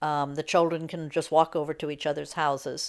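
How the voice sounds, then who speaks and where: A woman's very deep, low voice with an American accent and monotone, flat intonation, on a very clean recording with a silent background. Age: 70s. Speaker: cohousing resident. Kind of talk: casual interview.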